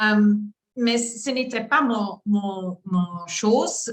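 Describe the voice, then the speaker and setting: The voice carries a Flemish accent. Its pitch variation is ordinary. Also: woman. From Flanders, Belgium. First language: Dutch (Flemish) (speaking French). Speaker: coach. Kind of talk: testimony. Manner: halting, many hesitations.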